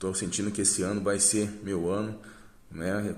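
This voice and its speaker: A man's fairly low, monotone, flat voice at a moderate pace, with audible room echo. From southern Brazil, Paraná. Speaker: dance teacher and school owner. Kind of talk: testimonial. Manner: hesitant, many fillers.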